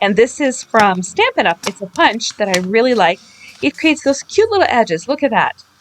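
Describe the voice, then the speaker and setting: A woman talks at a fairly quick pace in a fairly high voice with very wide pitch swings. The sound is dry and close with no echo, and there is noticeable background noise. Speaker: craft video creator. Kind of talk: tutorial. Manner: fast; casual.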